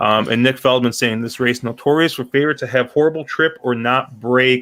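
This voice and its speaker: At a fairly quick pace, a man talks in an ordinary speaking voice at medium pitch with fairly even intonation. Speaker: horse racing podcast host. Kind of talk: casual panel chat.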